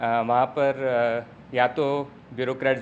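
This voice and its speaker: Delivering his words with monotone, flat intonation, a man talks at a medium pitch. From Mumbai, India. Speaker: urban researcher and teacher. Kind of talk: lecture. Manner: halting, many fillers.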